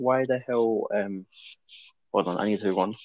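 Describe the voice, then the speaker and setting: Quietly, a man speaks at a moderate pace. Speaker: wrestling podcast co-host. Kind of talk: casual chat. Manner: quiet, low-volume speech.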